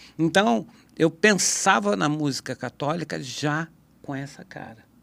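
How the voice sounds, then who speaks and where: Speaking fairly slowly, a man uses lively intonation at a fairly high pitch. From Brazil, São Paulo state interior. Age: 60s. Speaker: guitarist. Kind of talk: podcast conversation. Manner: casual, halting.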